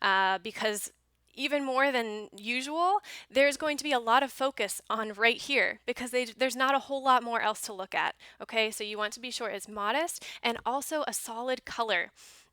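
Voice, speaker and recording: A woman speaks with a high pitch and a bright, sharp tone. Her pitch varies in an ordinary way. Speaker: online teacher and teaching coach. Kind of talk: tutorial. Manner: fast; animated.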